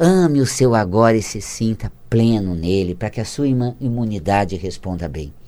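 With an ordinary speaking voice, a man of fairly low pitch talks at a moderate pace, using lively intonation and hardly any pauses. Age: 50s. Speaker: author on metaphysics of health. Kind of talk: casual interview. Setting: studio. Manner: laughs often.

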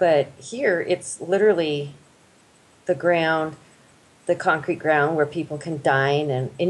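Delivered at a fairly slow pace with an American accent, the speech has ordinary pitch variation. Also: woman. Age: 40s. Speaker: school nurse. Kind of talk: casual chat.

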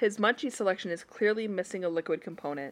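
A woman with a normal speaking voice, medium pitch and ordinary pitch variation, on a very clean recording with a silent background. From Utah. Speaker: podcast co-host. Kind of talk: casual chat.

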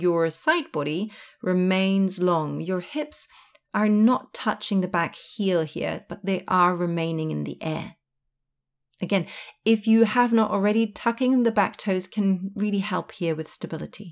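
A woman with an unremarkable speaking voice at medium pitch, a fairly slow pace and ordinary pitch variation. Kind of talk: guided yoga class, verbal cueing for blind practitioners. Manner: calm, slow, clear step-by-step instruction timed to breath; reassuring and encouraging.

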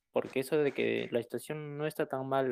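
A man talks at a fairly quick pace. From southern Peru. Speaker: recent immigrant caller. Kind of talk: casual group discussion.

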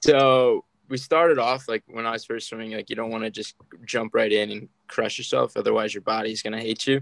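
An unremarkable speaking voice with an American accent, at a fairly quick pace with fairly even intonation, in a dry, close sound with no echo. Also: man, medium pitch for a man. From US, Maryland. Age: 20s. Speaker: Paralympic swimmer. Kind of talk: interview. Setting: remote call.

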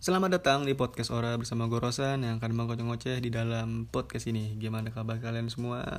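Barely pausing, a man races along at a very fast pace with a medium pitch and fairly even intonation. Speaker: podcast host. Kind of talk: casual solo monologue. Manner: rambling, fast, filler-heavy.

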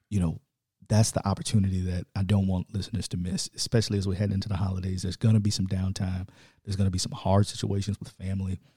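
With an American accent, a man speaks at a very fast pace in a very deep, low voice that is somewhat breathy. The tone is dark and mellow, the intonation monotone and flat, and the sound dry and close with no echo. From Chicago, south side. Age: 30s. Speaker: government and politics worker, former basketball coach. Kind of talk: casual chat.

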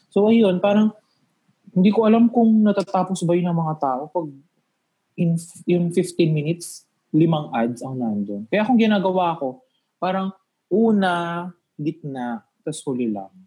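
Lively in intonation yet fairly slow, a man with a high pitch and a dark, mellow tone speaks with long, frequent pauses. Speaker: YouTube content creator. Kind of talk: casual chat. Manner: animated.

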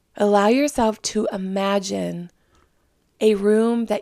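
A woman's dark, mellow voice, medium in pitch and calm in tone, at a fairly slow pace with fairly even intonation, in a very clean recording with a silent background. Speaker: psychic medium, podcast host. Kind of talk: guided meditation. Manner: slow, calm.

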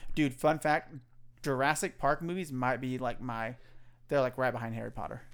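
At a moderate pace, the speaker sounds animated in a very clean recording with a silent background. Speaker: podcast co-host. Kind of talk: casual chat. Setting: living room at home. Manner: animated, joking.

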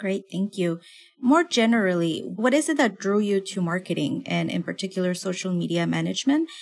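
A plain, everyday voice from a woman at medium pitch, lively in intonation and fairly quick, on a very clean recording with a silent background. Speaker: podcast interviewer. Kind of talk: interview.

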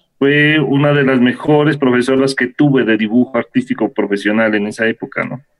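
At a moderate pace and medium pitch, a man speaks with ordinary pitch variation in a dry, close sound with no echo, music playing in the background. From Ecuador, Ibarra. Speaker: muralist and graduate student. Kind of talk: seminar discussion. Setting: video call.

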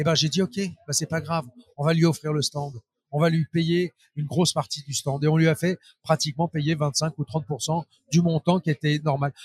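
Speaking at a moderate pace, a man uses a fairly high pitch with fairly even intonation. The sound is dry and close, with no echo. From Paris suburbs, France. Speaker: trade show organizer. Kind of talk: interview. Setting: trade show floor. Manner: hesitant with repetitions.

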